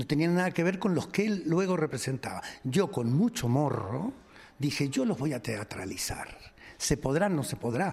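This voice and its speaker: His pitch swinging very widely, a man talks at a moderate pace in a somewhat breathy voice. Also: fairly high pitch for a man. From Argentina. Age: 70s. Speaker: comedian. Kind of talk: interview.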